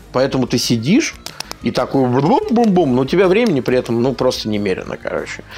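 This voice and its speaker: A man at a fairly quick pace with lively intonation, music in the background. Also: medium pitch for a man. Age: 30s. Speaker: game journalist and blogger. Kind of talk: casual chat. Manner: animated.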